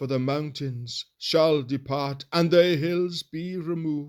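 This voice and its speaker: A man puts on a character voice. It sounds shaky and moves at a fairly slow pace. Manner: murmuring softly to herself.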